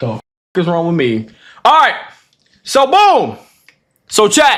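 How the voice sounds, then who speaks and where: An animated man with a DMV accent, speaking at a fairly slow pace. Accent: DMV accent, sounds British to some. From DMV area (DC/Maryland/Virginia). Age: 20s. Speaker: streamer. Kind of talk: live stream reaction chat.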